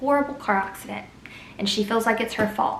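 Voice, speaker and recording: Over noticeable background noise and audible room echo, a woman with a fairly high pitch speaks at a fairly quick pace. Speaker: book reviewer. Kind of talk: casual vlog book recommendations.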